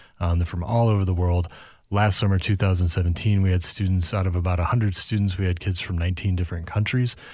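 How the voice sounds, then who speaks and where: A man with an American accent, very deep and low in pitch, at a very fast pace with fairly even intonation, on a very clean recording with a silent background. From US Midwest, St. Louis. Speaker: nonprofit executive director. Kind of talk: casual interview chat.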